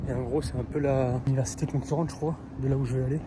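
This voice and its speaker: Fairly even intonation and a moderate pace mark this speech, heard over noticeable background noise. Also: man. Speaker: vlogger, exchange student. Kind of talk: travel vlog. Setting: outdoors. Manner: casual, hesitant.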